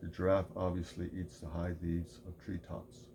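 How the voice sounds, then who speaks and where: A man talks at a moderate pace in a very deep, low pitch. His tone is dark and mellow, with vocal fry. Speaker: video essayist. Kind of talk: scripted narration. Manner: monotone.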